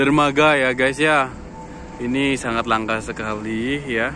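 Over noticeable background noise, a man speaks at a very slow pace. The sound is dry with no echo, and his pitch variation is ordinary. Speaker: cruise ship worker vlogger. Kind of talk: casual vlog chat. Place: waterside. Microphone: phone near.

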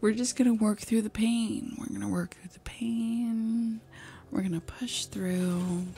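In a somewhat breathy voice with a dark, mellow, playful tone, a woman speaks at a fairly slow pace with fairly even intonation and big swings in loudness. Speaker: ASMR streamer. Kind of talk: casual talk to camera. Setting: live stream at home. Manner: playful, chaotic, joking. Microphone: studio mic.

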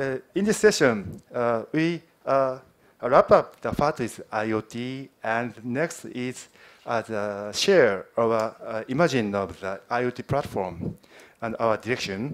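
A man with a Japanese accent speaks at a very slow pace. His intonation is lively, and the background is quiet. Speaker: software team manager. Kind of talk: conference presentation. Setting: stage with audience. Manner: halting. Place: hall. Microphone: podium.

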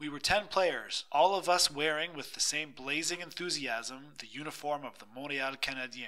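With a bright, sharp tone, a man talks in a fairly high pitch at a moderate pace. His delivery is dramatic, with ordinary pitch variation. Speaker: audiobook narrator. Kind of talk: reading aloud, dramatic narration of a memoir-style short story. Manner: dramatic, expressive storytelling with wry humor.

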